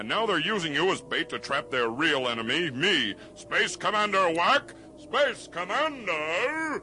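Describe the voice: Putting on a character voice, a man speaks at a fairly slow pace with a fairly high pitch, a bright, sharp tone and lively intonation.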